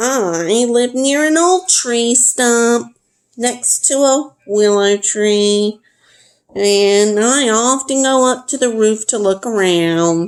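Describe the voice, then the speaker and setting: A put-on character voice, female-sounding and sing-song, with a fairly high pitch at a very slow pace. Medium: read story. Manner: sing-song, melodic.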